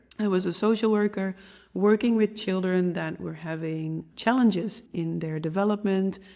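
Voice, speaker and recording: A woman speaks in a dark, mellow tone. Her intonation stays fairly even. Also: medium pitch for a woman, moderate pace, very clean recording, silent background. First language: Dutch. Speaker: podcast host, medium and intuition teacher. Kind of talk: podcast monologue.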